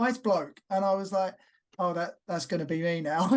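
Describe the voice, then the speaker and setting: A man speaks with a slight East London accent. His pitch is high and his pace fairly quick. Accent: subtle East London. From East London, England. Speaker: professional wrestler and actor. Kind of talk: casual interview.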